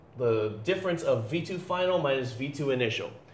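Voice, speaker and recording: A man speaks in a fairly high voice with lively intonation. Audible room echo surrounds his words. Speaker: physics teacher. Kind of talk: lecture. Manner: fast; halting.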